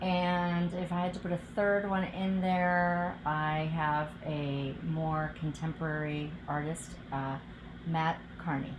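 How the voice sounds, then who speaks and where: A woman with a Midwestern US accent speaks at a very slow pace, her loudness very even and her intonation fairly even. Room echo is audible. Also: fairly low pitch for a woman. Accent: General American, Midwestern. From US Midwest, outside Cleveland, Ohio. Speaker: political candidate, physician. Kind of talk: interview answers.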